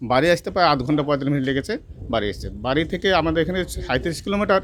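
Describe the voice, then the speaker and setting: A man's fairly high-pitched voice with vocal fry. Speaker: victim's relative, farmer. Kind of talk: interview testimony.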